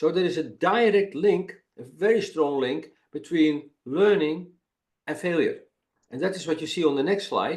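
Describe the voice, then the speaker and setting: A man speaks with a Dutch accent. His pitch is high. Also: ordinary pitch variation, moderate pace. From Netherlands. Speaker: failure and innovation expert, webinar presenter. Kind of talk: webinar presentation. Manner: halting, many repetitions and fillers.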